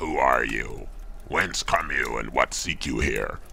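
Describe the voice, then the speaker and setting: A man performs a put-on character voice at a fairly slow pace. Clear background noise runs underneath. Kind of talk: archaic ritual speech. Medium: audio drama. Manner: commanding, solemn.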